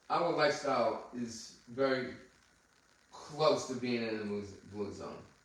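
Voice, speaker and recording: A man's medium pitch with ordinary variation at a fairly slow pace, amid noticeable background noise and audible room echo. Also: long, frequent pauses. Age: 60s. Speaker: podcast host, anti-aging doctor. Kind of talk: casual chat.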